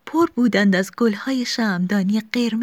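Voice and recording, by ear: A natural voice reading text aloud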